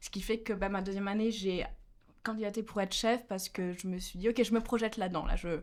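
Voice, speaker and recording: Very fast speech from a woman, her intonation fairly even. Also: medium pitch for a woman. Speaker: university student, delegation co-leader. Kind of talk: casual interview.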